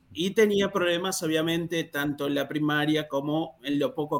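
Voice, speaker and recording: With an ordinary speaking voice, a man talks in a fairly high pitch at a moderate pace, his pitch varying in an ordinary way. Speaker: free software user and mentor. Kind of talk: podcast interview.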